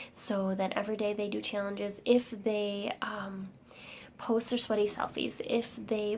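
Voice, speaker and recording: Whispering, a woman speaks at a fairly slow pace. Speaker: fitness coach. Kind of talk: tutorial. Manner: casual.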